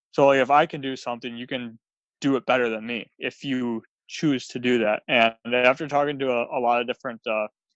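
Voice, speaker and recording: At a fairly quick pace, a man talks in a monotone, flat intonation with a medium pitch. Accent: Wisconsin. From US Midwest, Wisconsin. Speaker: author and speaker. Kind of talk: podcast interview.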